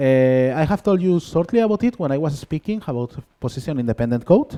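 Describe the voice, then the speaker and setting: A man with a strong Spanish accent talks at a fairly quick pace in a dark, mellow tone, his pitch swinging very widely. The sound is dry and close, with no echo. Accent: thick Spanish. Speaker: conference speaker, software developer. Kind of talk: conference talk. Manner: halting, many fillers.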